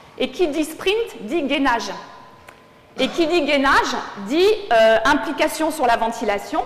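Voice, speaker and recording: Over noticeable background noise and audible room echo, a woman with a high voice speaks very slowly with long, frequent pauses, her pitch swinging very widely while her loudness stays very even. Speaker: sports physiologist. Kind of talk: lecture. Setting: conference hall with audience.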